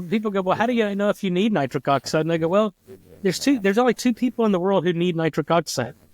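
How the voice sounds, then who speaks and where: A man with an American accent talks at a very fast pace in a high voice with lively intonation and very even loudness. The recording is very clean, with a silent background and a dry, close sound with no echo. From Texas. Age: 50s. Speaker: nitric oxide researcher. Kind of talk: interview.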